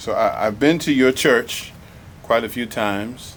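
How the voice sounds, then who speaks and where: Here a man speaks at a fairly slow pace. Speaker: museum programs manager. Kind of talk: interviewer questions.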